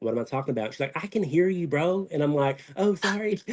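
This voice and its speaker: This man speaks at a very fast pace. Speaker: reality TV contestant. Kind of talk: casual chat.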